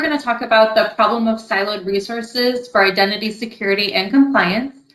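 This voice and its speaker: A woman's fairly high, fairly quick voice in a Californian accent. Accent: Californian, flat tone. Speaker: customer success director. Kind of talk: presentation. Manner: flat tone.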